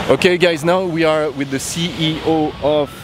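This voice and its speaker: Noticeable background noise behind a man's fairly high-pitched voice. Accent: French. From France. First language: French. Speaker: wakeboard park owner and vlogger. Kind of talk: vlog presentation and interview. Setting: outdoors at a cable park. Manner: hesitant with fillers.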